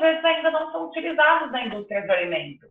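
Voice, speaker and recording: A woman's voice swings very widely in pitch. Room echo is audible. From Mato Grosso do Sul, Brazil (interior). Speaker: chocolate entrepreneur, product designer. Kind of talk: interview.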